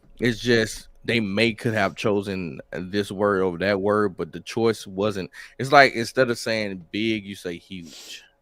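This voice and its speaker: Speaking with a Southern accent and hardly any pauses, a man keeps fairly even intonation at a fairly low pitch while his loudness swings widely. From US South, Mississippi. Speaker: rapper and military veteran. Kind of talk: interview. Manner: halting.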